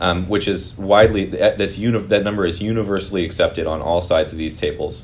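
With a Californian accent, a man speaks at a very fast pace in a fairly low, somewhat breathy voice, hardly pausing, as the room echo stays audible. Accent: Californian American. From US West Coast (Piedmont, East Bay, California). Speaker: housing advocacy group representative. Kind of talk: interview.

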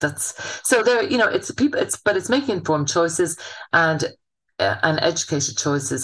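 With a Munster accent, a woman speaks using lively intonation. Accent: southern Irish (Waterford). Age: 50s. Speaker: chef and business owner. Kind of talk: interview. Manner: casual, chatty with fillers.

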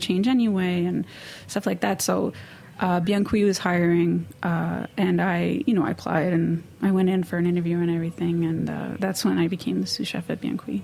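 A woman with an American accent speaks at a moderate pace while noticeable background noise plays behind her. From New York City (Manhattan, Hell's Kitchen). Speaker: head baker. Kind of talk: interview. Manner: halting.

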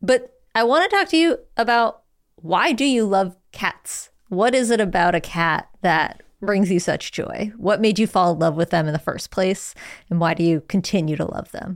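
A woman talks at a moderate pace and medium pitch, with lively intonation, in a very clean recording with a silent background. She has a normal speaking voice. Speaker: podcast host. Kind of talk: podcast interview and intro narration.

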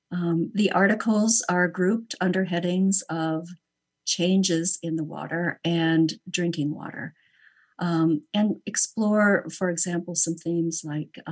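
Speaking at a fairly slow pace, a woman uses an ordinary speaking voice with fairly low pitch and fairly even intonation. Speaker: journal editor. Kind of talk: roundtable discussion. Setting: video call.

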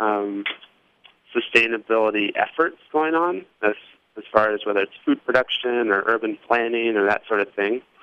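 At a moderate pace, a man uses a normal speaking voice with a medium pitch and ordinary pitch variation. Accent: American. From Indianapolis, Indiana. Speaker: urban farmer. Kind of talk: interview.

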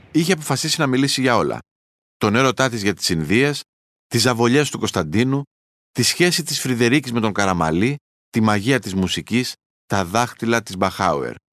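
A man's medium-pitched voice with vocal fry and lively intonation at a moderate pace, dry and close with no echo over a quiet background. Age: middle-aged. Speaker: journalist, podcast host. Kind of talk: scripted narration.

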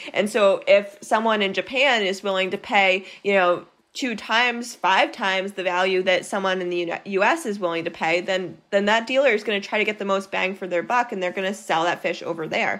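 Hardly pausing, a woman with an American accent talks at a fairly quick pace in a plain, everyday voice with ordinary pitch variation. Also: medium pitch for a woman. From Maine, US. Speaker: nonprofit program director, marine scientist. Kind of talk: interview.

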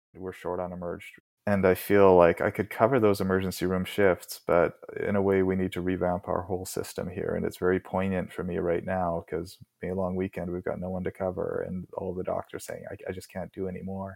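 Talking at a fairly quick pace, a man with a Canadian accent uses a very deep, low pitch and monotone, flat intonation. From Port Moody, BC, Canada. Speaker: rural doctor (GP anesthetist). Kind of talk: interview.

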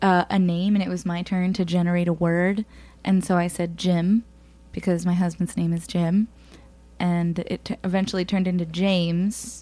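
Against a quiet background, a woman with an American accent speaks at a moderate pace in a fairly low pitch, her dark, mellow tone held in monotone, flat intonation. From northern New Jersey. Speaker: musician. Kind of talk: casual chat. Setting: studio.

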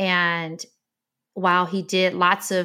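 A woman's bright, sharp voice at a fairly low pitch with an American accent, on a very clean recording with a silent background. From Detroit, Michigan, US. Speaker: former tech CEO and venture investor. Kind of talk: interview conversation.

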